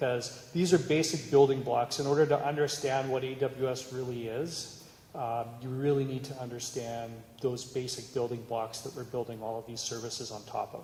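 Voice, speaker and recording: In a Canadian accent, a man speaks at a moderate pace and medium pitch with fairly even intonation and big swings in loudness, amid noticeable background noise and audible room echo. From Canada. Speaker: cybersecurity executive. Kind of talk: conference talk.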